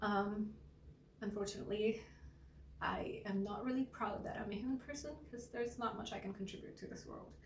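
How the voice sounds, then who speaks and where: Audible room echo and noticeable background noise accompany a woman whose intonation stays fairly even. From India. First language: Gujarati. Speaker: singer-songwriter and artist. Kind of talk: personal introduction vlog. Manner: halting, repeats words.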